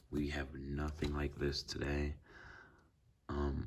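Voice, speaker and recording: Speaking at a fairly slow pace, the man has a very deep, low pitch. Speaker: banknote collector. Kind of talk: casual talk to camera.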